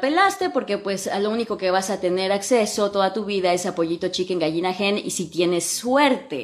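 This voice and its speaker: A woman speaks with a Mexican accent. Her pitch is medium, with ordinary variation. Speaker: English teacher and podcast host. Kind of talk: casual Instagram live talk. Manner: animated, colloquial.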